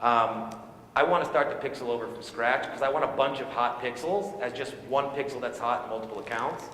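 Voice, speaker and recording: Noticeable background noise and audible room echo surround a man's voice. He talks at a fairly quick pace with ordinary pitch variation. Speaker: conference speaker on online advertising. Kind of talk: live talk to audience. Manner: fast; loud.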